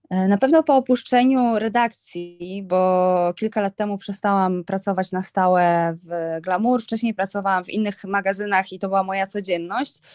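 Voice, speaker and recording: Over music in the background, a woman talks at a moderate pace with hardly any pauses, a medium pitch, ordinary pitch variation and big swings in loudness, in a dry, close sound with no echo. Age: 30s. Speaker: fashion stylist and influencer. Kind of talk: casual chat.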